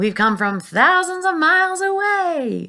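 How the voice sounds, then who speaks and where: Someone shouts in a put-on character voice with an extremely high pitch at a fairly slow pace. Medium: read story. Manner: cheeky, shouting.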